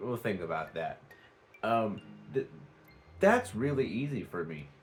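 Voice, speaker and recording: Using very wide pitch swings around a medium pitch, a man with an American accent speaks with vocal fry. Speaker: vlogger. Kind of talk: casual vlog talk. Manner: halting, many fillers.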